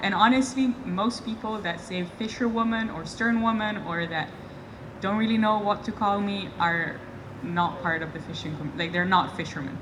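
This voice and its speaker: With noticeable background noise and audible room echo around her, a woman talks at a medium pitch, her pitch varying in an ordinary way. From Italy. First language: Italian. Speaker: sternman on lobster boat. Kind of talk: panel Q&A. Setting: outdoors with audience.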